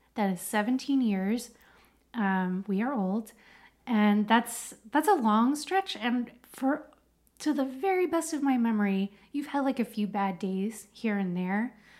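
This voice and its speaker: Using a normal speaking voice, a woman with an American accent talks at a fairly high pitch with lively intonation. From United States. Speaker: podcast co-host. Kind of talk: casual chat.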